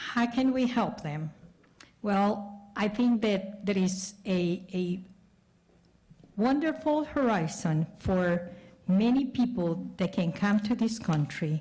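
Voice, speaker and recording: Speaking at a very slow pace, a woman with a Spanish accent sounds somewhat breathy, her intonation lively. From El Salvador. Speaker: school board member and candidate. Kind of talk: candidate forum answer.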